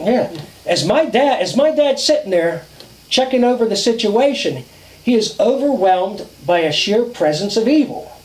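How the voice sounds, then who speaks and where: Against noticeable background noise, a man with an extremely high pitch speaks at a moderate pace, his intonation lively and his loudness very even. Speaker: storyteller. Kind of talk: campfire ghost story telling. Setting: outdoors.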